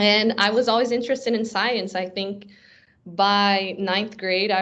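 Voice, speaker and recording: A woman with a Portuguese accent talks at a moderate pace, her pitch varying in an ordinary way. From Brazil, raised in South Florida from age 9. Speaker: software engineer and coding instructor. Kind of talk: interview conversation.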